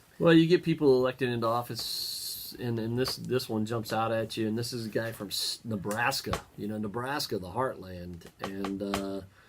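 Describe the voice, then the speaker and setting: Against noticeable background noise, a man with an American accent speaks with ordinary pitch variation. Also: medium pitch for a man, moderate pace. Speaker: local party chairman and radio host. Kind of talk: opinionated talk show discussion. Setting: studio. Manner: halting.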